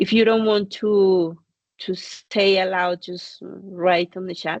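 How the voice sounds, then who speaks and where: Against a quiet background, a woman with a Spanish accent speaks at a medium pitch with ordinary pitch variation. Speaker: course director and lecturer. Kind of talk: online lecture. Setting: video call.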